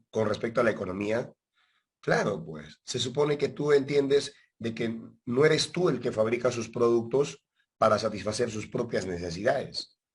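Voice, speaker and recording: This man's voice sits at a medium pitch. It comes across somewhat breathy. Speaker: teacher. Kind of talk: lecture. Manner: conversational, checks understanding often.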